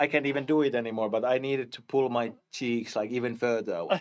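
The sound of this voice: Fairly even intonation from a man speaking at a fairly quick pace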